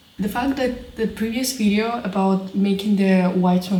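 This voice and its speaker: A woman with a Russian accent is heard with audible room echo and noticeable background noise. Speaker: crafting vlogger. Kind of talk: casual vlog talk to camera. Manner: halting.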